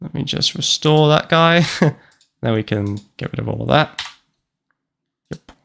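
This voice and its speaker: A man talks at a fairly slow pace in a British accent. Long, frequent pauses break up his speech. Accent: British accent kept. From UK, moved to Canada at four. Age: 20s. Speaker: gaming streamer. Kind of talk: live gameplay stream chat. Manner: animated.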